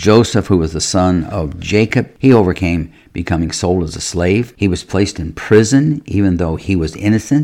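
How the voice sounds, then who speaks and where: A man's very deep, low voice with a dark, mellow tone, ordinary pitch variation and a moderate pace. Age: 70s. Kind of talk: devotional teaching monologue.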